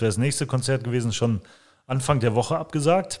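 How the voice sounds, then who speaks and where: A man's medium-pitched, normal speaking voice with ordinary pitch variation. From Germany, Langenberg (Westphalia). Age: 40s. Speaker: cultural association organizer. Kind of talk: interview. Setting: on location.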